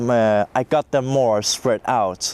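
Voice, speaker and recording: Amid noticeable background noise, the speech moves at a very slow pace with fairly even intonation. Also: man. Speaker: music producer. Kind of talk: interview testimony. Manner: halting, many fillers.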